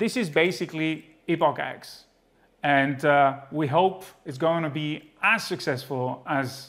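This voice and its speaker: A man talks fairly slowly, his pitch varying an ordinary amount. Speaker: presenter. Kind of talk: product demonstration. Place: studio.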